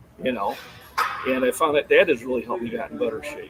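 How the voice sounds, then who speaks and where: Talk races along at a very fast pace while noticeable background noise plays behind it. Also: man. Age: 50s. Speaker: fitness channel host. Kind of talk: live stream chat with guest. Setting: live stream video call. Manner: halting, many fillers.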